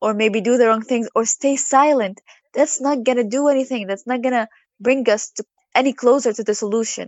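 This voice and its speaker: In an Arabic accent, the speaker keeps a moderate pace and fairly even intonation. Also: woman. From Gaza, Palestine. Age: 20s. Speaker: literature student. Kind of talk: interview.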